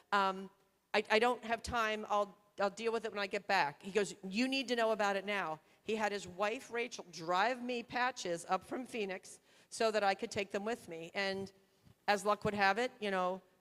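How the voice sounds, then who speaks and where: With a normal speaking voice, a woman talks at a moderate pace and a medium pitch, her intonation fairly even. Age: 60s. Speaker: surgeon. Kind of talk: conference talk.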